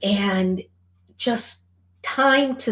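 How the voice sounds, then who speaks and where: In a very clean recording with a silent background, a woman with a Michigan accent talks in an animated tone with ordinary pitch variation. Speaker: charity organizer. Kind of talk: event announcement.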